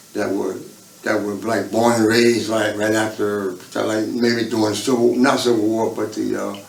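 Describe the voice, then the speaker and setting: Delivered in a monotone, flat intonation at a moderate pace, the speech has audible room echo and noticeable background noise. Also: man, fairly low pitch for a man. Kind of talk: life-story interview. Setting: state prison. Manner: halting, repeats words.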